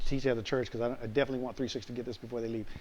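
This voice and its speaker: This man's voice sits at a medium pitch with a dark, mellow tone. Room echo is audible. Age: 60s. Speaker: pastor. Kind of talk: lecture. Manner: animated; repetitive, stammering restarts.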